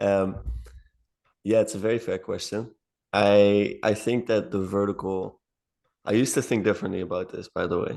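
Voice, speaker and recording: Against a quiet background, a man with a fairly low pitch speaks at a moderate pace. His intonation is fairly even, with long, frequent pauses. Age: 20s. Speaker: philosophy channel creator. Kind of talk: casual chat.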